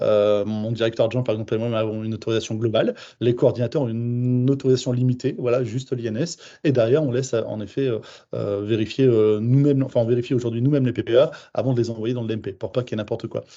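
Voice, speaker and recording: A man talks at a very fast pace. His medium pitch holds fairly even intonation. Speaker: home care service manager. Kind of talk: webinar presentation.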